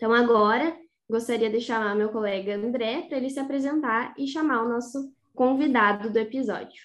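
A woman speaks in a normal speaking voice, fairly high in pitch. Her pace is moderate, with ordinary pitch variation. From Rosário do Sul, Rio Grande do Sul, Brazil. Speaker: agronomy student co-host. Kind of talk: interview questions.

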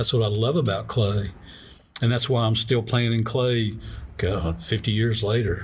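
A man with a somewhat breathy, medium-pitched voice speaks at a fairly slow pace with very even loudness and fairly even intonation. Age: 60s. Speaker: ceramic artist. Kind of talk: casual interview.

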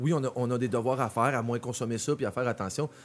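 A man with a Quebec accent speaks at medium pitch. His tone is animated. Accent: Québécois French. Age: 40s. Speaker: clothing designer. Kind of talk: casual chat.

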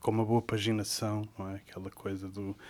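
Speaking with a Lisbon accent, a man keeps a fairly low pitch and a monotone, flat intonation at a fairly slow pace. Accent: European Portuguese (Lisbon region). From Portugal, Sintra area near Lisbon. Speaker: poet, translator and editor. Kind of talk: interview. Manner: halting, with frequent repetitions.

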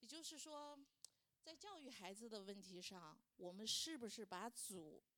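This woman's fairly high voice moves through very wide pitch swings. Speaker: churchgoer sharing as a mother. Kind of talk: testimony.

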